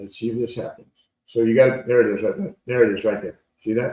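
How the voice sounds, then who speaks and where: This man talks at a medium pitch in a dark, mellow tone. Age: 60s. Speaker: trading educator. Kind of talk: live trading tutorial. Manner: casual, repetitive.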